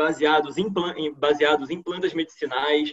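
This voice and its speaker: A man with a Carioca accent, fairly high pitch, fairly even intonation and a moderate pace. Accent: carioca Brazilian Portuguese. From Brazil, Rio de Janeiro. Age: 30s. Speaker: PhD student scientist. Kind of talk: online science talk. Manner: many filler hesitations.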